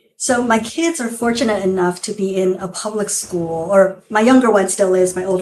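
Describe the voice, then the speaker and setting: Moderately paced speech from a woman, medium in pitch with ordinary pitch variation. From northern California, US (born in Taiwan, moved at nine). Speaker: physician. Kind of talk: interview.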